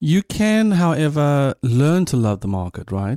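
Dark, mellow male voice with a South African accent at a fairly slow pace, dry and close with no echo, on a very clean recording with a silent background. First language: Afrikaans. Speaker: podcast host. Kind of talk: interview conversation; scripted intro and outro.

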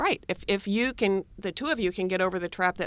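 A woman with an American accent and an unremarkable speaking voice talks at medium pitch and a fairly quick pace, the sound dry and close with no echo. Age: 60s. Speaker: author. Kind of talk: casual chat.

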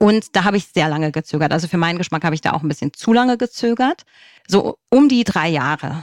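A woman talks at a very fast pace with a fairly low pitch and very wide pitch swings. The sound is dry and close, with no echo. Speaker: single mother by choice. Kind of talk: interview.

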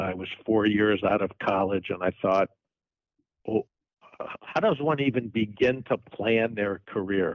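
Pausing long and often, a man speaks at a fairly slow pace with ordinary pitch variation. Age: 60s. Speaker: sports team executive. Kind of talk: interview.

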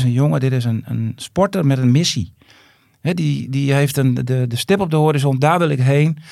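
Pitch varies in an ordinary way as the talk runs at a fairly quick clip. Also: man. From Groningen province, Netherlands. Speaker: footballer's father. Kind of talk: casual interview. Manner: halting, many repetitions.

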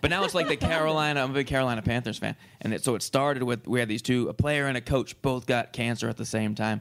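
With an American accent, a man talks at a very fast pace with hardly any pauses, medium pitch and ordinary pitch variation, over noticeable background noise. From Massachusetts, US. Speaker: comedian. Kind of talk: casual chat.

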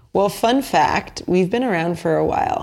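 Over noticeable background noise, a woman with a fairly low voice speaks at a moderate pace. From New Jersey (Basking Ridge). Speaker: beverage company founder. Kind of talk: interview conversation.

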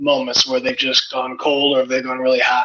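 A man's voice with ordinary pitch variation. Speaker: sports betting pundit. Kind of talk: casual chat. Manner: loud.

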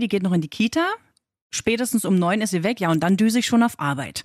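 A woman's medium-pitched voice, very fast and lively in intonation, on a very clean recording with a silent background. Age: 30s. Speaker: working mother, podcast co-host. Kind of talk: casual chat.

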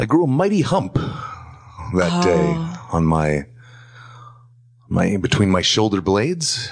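A man's fairly low voice at a very slow pace, with long, frequent pauses, very wide pitch swings and very even loudness over noticeable background noise. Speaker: radio host; podcast guest. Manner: calm, slow, gentle.

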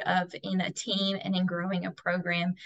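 In an American accent, a woman is talking. Her intonation stays monotone and flat. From US South, Tennessee (Dayton). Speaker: college track athlete. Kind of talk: interview.

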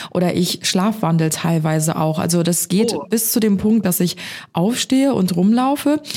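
A woman with a medium pitch speaks at a moderate pace, her loudness very even and her intonation lively. Noticeable background noise runs behind her. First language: not English; speaks German natively (speaking German). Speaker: podcast co-host. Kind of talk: casual chat.

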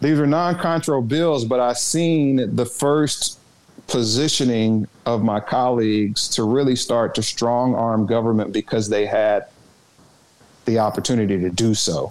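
Using a Southern US accent, a man of medium pitch talks at a fairly slow pace with ordinary pitch variation and very even loudness. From Arkansas, Little Rock. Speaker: former state politician and cannabis entrepreneur. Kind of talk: interview.

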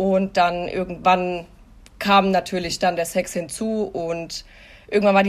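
An unremarkable speaking voice, fairly slow in pace, with fairly even intonation. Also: woman. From Hesse, Germany. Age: 30s. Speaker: podcast guest sharing personal experience. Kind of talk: casual interview, personal testimony.

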